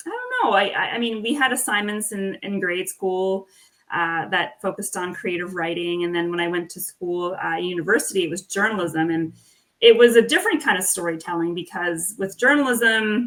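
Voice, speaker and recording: A woman's medium-pitched voice moves at an even, moderate speed, with typical rises and falls in pitch. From Nova Scotia, Canada (Acadian village). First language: French. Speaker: author. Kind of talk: interview.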